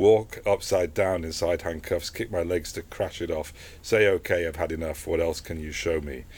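With fairly even intonation, a man speaks in a very deep, low, somewhat breathy voice. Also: moderate pace. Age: 50s. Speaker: photographer. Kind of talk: interview. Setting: book shop.

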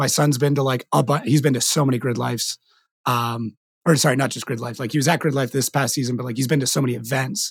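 At a very fast pace, a man speaks with medium pitch and a somewhat breathy quality. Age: 30s. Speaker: podcast host. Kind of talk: casual chat. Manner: animated.

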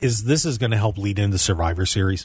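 The speaker talks at a fairly quick pace with an American accent and a somewhat breathy voice. Pitch variation is ordinary, and the background is quiet. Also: man. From US Northeast (Pennsylvania). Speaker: radio host. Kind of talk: casual banter radio show chat. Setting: radio studio.

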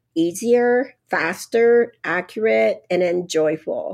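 A woman speaks with a Japanese accent. Her intonation is lively. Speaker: radiologist and professor. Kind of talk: interview.

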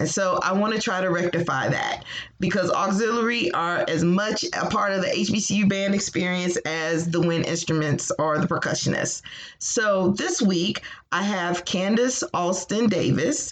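Against noticeable background noise, a woman speaks at a fairly slow pace in a medium pitch, with ordinary pitch variation and very even loudness. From Virginia, Hampton. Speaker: podcast host. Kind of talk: scripted narration; interview.

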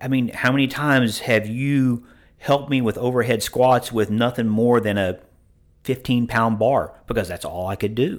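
On a very clean recording with a silent background, a man with an ordinary speaking voice talks at a medium pitch with fairly even intonation. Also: moderate pace. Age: 50s. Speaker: gym member. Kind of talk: interview.

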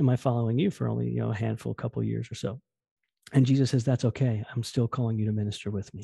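A man with an American accent talks at a very fast pace, his voice dark, mellow and somewhat breathy. The background is quiet. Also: dry, close sound with no echo. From New Jersey. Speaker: youth pastor. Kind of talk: interview. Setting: remote call. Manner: fast, excitable.

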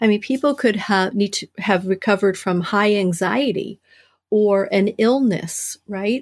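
A woman with a plain, everyday voice at medium pitch, at a fairly slow pace, on a very clean recording with a silent background. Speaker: author and writing coach in recovery. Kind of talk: interview.

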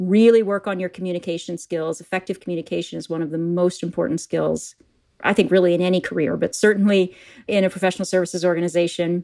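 A normal speaking voice from a woman at medium pitch, fairly quick in pace with ordinary pitch variation, on a very clean recording with a silent background. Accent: American. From US Midwest, Wisconsin. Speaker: corporate learning executive. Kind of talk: interview.

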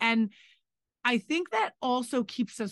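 A woman with an unremarkable speaking voice, a moderate pace and lively intonation. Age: 40s. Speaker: restaurant owner and podcast co-host. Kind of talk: casual chat.

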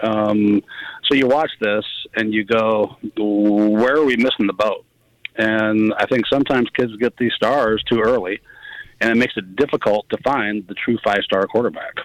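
A man speaks in a normal speaking voice, fairly low in pitch with fairly even intonation, with a dry, close sound and no echo. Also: moderate pace. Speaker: football coach. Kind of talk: call-in radio talk. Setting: phone call.

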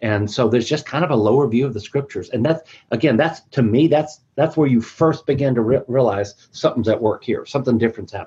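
Against a quiet background, a man talks at a very fast pace in a somewhat breathy, dark, mellow tone, at medium pitch with ordinary pitch variation. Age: 50s. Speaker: church minister. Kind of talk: webinar discussion.

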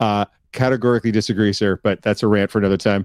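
Dry, close sound with no echo carries a man's fairly low voice with a Canadian accent. It is a plain, everyday voice at a fairly quick pace. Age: 40s. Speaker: podcast co-host. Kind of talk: casual chat. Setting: live-streamed video call.

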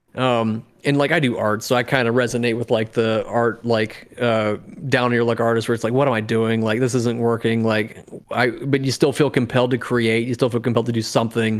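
Noticeable background noise sits behind a man talking at a fairly quick pace. His medium-pitched voice keeps a monotone, flat intonation. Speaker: podcast co-host. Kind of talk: casual chat.

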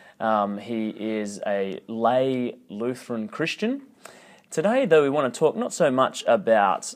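Speaking with an Australian accent, a man of medium pitch shows ordinary pitch variation. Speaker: podcast host. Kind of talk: interview. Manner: hesitant, many fillers.

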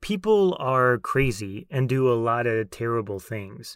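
This man has a normal speaking voice with medium pitch. He speaks with an American accent. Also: very clean recording, silent background. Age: 30s. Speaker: podcast host and leadership coach. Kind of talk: solo monologue.

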